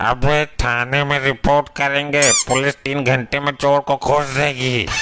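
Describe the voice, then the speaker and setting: A man puts on a cartoonish character voice at a fairly high pitch, speaking at a fairly slow pace with monotone, flat intonation. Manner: cheeky, slangy.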